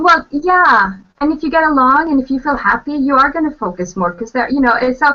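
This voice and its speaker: A woman's high, raised, projected voice with a bright, sharp tone, lively intonation, and a fairly quick pace. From Norway. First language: Norwegian. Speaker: author and translator. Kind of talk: casual chat. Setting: video call.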